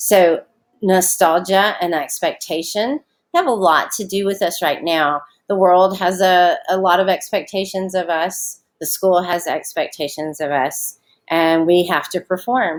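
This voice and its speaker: Speaking at a fairly slow pace in a Southern US accent, a woman keeps a medium pitch with ordinary variation. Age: 40s. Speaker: schoolteacher. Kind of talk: recorded online lesson. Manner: casual, many fillers.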